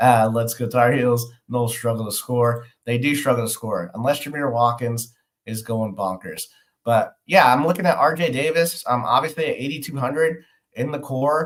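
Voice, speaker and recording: A man with a normal speaking voice talks at medium pitch and a moderate pace, with ordinary pitch variation. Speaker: sports betting podcast host. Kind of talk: live stream fantasy sports analysis. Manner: frequent filler words.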